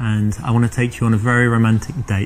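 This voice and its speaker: A man with an English accent talks at a fairly quick pace over light background noise. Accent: British, English. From London, England. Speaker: actor in a dating-advice roleplay. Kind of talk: scripted dialogue. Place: cafe. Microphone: lapel.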